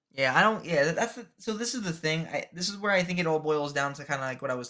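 Talking at a very fast pace, a man with a New Jersey accent uses a fairly high, bright, sharp voice with lively intonation. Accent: New Jersey American. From New Jersey, US. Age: 20s. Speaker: public school teacher. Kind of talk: casual chat.

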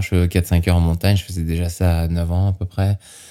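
This man's pitch is very deep and low, with a dark, mellow tone. He keeps his intonation fairly even. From France (Normandy, grew up partly Mont Blanc area). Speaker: extreme skier and base jumper. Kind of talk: interview.

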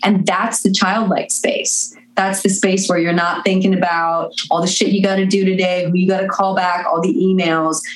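The speech moves at a moderate pace with hardly any pauses, very even loudness, and fairly even intonation, with audible room echo. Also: woman, medium pitch for a woman. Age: 30s. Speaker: musician. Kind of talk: casual chat.

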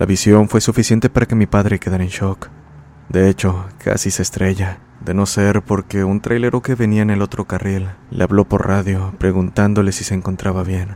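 At a moderate pace, a man speaks with a fairly low pitch and a monotone, flat intonation. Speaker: horror story podcast narrator. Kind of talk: ghost story telling, scripted narration of listener-submitted horror tale.

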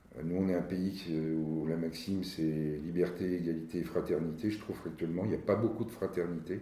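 A man talks at a moderate pace in a very deep, low pitch with a dark, mellow tone. His intonation stays fairly even, and the room echo is audible. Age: 60s. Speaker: company director. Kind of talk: interview. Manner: halting.

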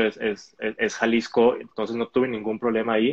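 A man speaks at a medium pitch. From Mexico, Hermosillo (Sonora). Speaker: elite roller skater. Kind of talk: online interview. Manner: hesitant, many repetitions.

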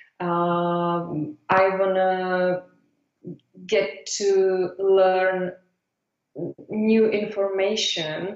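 A woman with a Czech accent and a medium pitch speaks at a very slow pace with monotone, flat intonation and long, frequent pauses. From Czech Republic. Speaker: business founder. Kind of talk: interview. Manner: halting.

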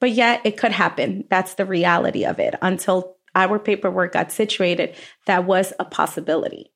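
This unremarkable speaking voice moves at a moderate pace, with fairly even intonation and very even loudness. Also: woman, medium pitch for a woman. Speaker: restaurant owner. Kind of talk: interview.

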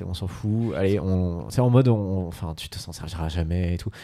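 Very deep and low in pitch, a man speaks very fast in a dark, mellow tone with ordinary pitch variation. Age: 20s. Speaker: podcast co-host. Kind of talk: casual chat.

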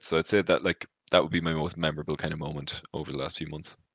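A very fast, monotone man's voice with flat intonation, very deep and low in pitch, bright and sharp in tone, with vocal fry. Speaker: streamer and content creator. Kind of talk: casual interview.

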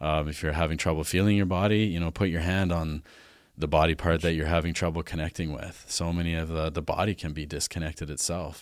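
A man with a western Canadian accent speaks at a very fast pace in a very deep, low, flat monotone. The recording is very clean, with a silent background. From Alberta, Canada (farm). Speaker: Chinese medicine practitioner. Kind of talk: casual interview.

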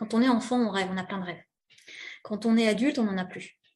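Fairly quick and somewhat breathy, a woman speaks with a fairly high pitch. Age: 40s. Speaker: interview guest sharing personal story. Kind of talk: personal testimony. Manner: hesitant, many fillers.

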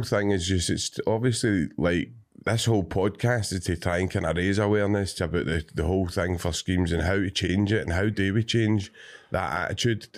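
A man with a Scottish accent at a fairly low pitch, ordinary pitch variation, very even loudness and a fairly quick pace, on a very clean recording with a silent background. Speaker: podcast host. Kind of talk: casual interview chat.

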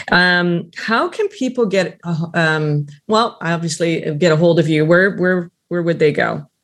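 A woman with a plain, everyday voice speaks at a fairly slow pace in a fairly low pitch, with ordinary pitch variation. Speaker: podcast host. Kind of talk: interview.

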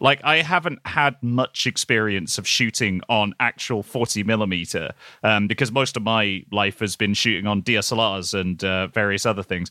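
A man with a British accent speaks at a moderate pace in a fairly low pitch, his bright, sharp tone carrying ordinary pitch variation with hardly any pauses, in a dry, close sound with no echo on a very clean recording with a silent background. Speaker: video lead and cinematography fan. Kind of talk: casual chat.

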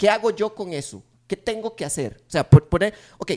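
Heard in a dry, close sound with no echo, a man with a Costa Rican accent talks at a moderate pace with very wide pitch swings. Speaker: podcast co-host. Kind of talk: casual chat.

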